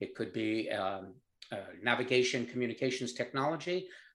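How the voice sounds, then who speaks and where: A man's medium-pitched voice with a New York accent. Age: 70s. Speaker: company founder. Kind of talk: interview.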